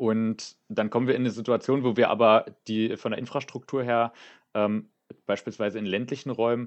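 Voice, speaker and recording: A man's plain, everyday voice at a medium pitch, with fairly even intonation and a fairly quick pace over a quiet background. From Brandenburg, Germany. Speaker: youth wing political candidate. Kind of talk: podcast interview.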